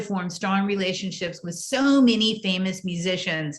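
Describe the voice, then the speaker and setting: With ordinary pitch variation and a medium pitch, a woman speaks at a moderate pace as noticeable background noise carries on. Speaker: podcast host. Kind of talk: interview host introduction.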